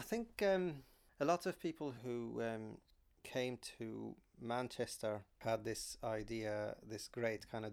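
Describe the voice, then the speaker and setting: This is a man speaking. He has an Arabic accent. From Syria, Aleppo. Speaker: psychiatrist and community organizer. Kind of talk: interview.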